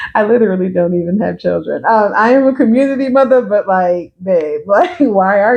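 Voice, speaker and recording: A woman with an American accent, medium pitch, relaxed tone and fairly quick pace. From New York, the Bronx, partly Georgia. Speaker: social worker and consultant. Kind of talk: casual vlog introduction. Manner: relaxed, conversational.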